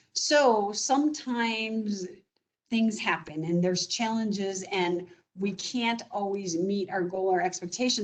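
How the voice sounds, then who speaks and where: This woman has an unremarkable speaking voice at a medium pitch, with lively intonation and a fairly slow pace. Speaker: business development director at home care agency. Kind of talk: presentation. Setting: video call.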